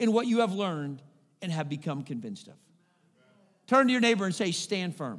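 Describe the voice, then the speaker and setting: In a very clean recording with a silent background, a man's raised, projected voice has a bright, sharp tone, an animated delivery and very wide pitch swings. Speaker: pastor. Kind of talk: sermon; rousing sermon storytelling, rallying congregation to call-and-response. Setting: church. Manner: animated, exhorting preacher prompting 'say amen' responses; conversational with frequent uh fillers.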